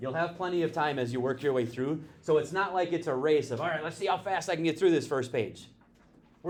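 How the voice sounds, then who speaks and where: Speaking very fast at a fairly high pitch with ordinary variation, a man is heard with audible room echo. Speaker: math teacher. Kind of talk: classroom lecture. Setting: classroom with students.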